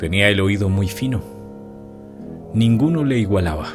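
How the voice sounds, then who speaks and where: With music in the background, the speaker moves at a fairly slow pace with lively intonation. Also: man. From Colombia. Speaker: narrator. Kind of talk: horror story reading. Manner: dramatic, rhythmic.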